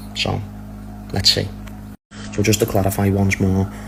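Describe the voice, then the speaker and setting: Against noticeable background noise, a man with a very deep, low pitch talks at a moderate pace in a monotone, flat intonation. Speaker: football transfer news commentator. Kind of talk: casual video update.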